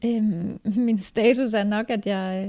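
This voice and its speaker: A soft-spoken woman with a dark, mellow tone and fairly high pitch talks with fairly even intonation on a very clean recording with a silent background. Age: 30s. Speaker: hairdresser. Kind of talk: casual chat. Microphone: too far from the mic.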